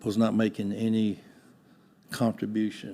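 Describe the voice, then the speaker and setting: A man's fairly low, dark, mellow voice in a Texan accent, flat and monotone, at a fairly slow pace. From Texas (Houston). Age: 80s+. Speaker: retired business owner. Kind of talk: interview.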